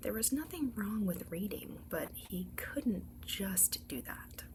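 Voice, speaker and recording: A soft-spoken woman talks at a very slow pace. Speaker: ASMR storyteller. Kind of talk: bedtime story read-aloud.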